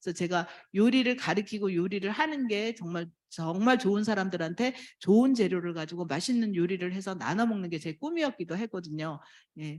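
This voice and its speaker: On a very clean recording with a silent background, a woman speaks fairly quickly at a medium pitch with lively intonation. She has a plain, everyday voice. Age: 60s. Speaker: network marketing distributor. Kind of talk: testimony speech.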